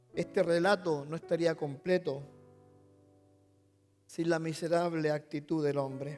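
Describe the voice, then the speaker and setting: A man's fairly high, monotone voice at a fairly slow pace, with long, frequent pauses and music in the background. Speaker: pastor. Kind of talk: sermon monologue.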